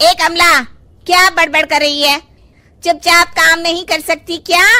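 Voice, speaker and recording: A female-sounding, cartoonish character voice speaks at a moderate pace with extremely high pitch. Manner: bossy, rude.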